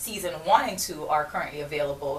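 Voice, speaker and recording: Through noticeable background noise and audible room echo, a woman talks at a fairly quick pace with a very deep, low pitch and ordinary pitch variation. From Jamaica. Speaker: entrepreneur and podcast host. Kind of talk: radio interview. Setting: radio studio.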